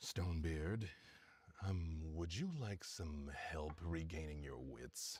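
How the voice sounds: Using a put-on character voice, a man rumbles along at a very slow pace in a very deep, low pitch.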